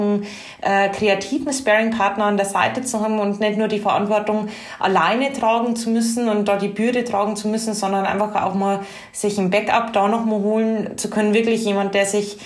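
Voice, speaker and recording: Noticeable background noise and audible room echo behind a woman of medium pitch, her loudness very even. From Bavaria, Regensburg. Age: 30s. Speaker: HR manager. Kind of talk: casual interview.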